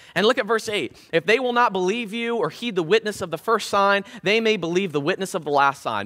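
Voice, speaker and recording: A man speaks in a raised, projected voice with a high pitch and a bright, sharp tone. The background is quiet. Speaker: preacher giving a sermon. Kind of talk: casual, humorous sermon delivery. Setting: church service. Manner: fast talker. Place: church. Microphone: headset.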